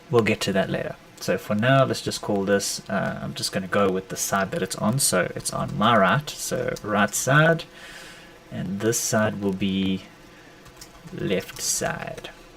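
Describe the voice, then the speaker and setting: Over noticeable background noise, the voice moves fairly slowly and swings very widely in pitch. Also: man. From South Africa. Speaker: sneaker customizer and artist. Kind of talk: live stream tutorial. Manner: casual.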